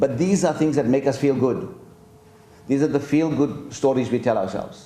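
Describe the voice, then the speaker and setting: Audible room echo surrounds a man's voice. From South Africa. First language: Gujarati. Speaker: professor. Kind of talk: lecture Q&A. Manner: halting.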